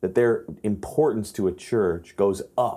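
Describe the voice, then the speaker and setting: Low-pitched for a man, this voice has a dark, mellow tone and an American accent. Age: 20s. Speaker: worship pastor and musician. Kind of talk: interview conversation.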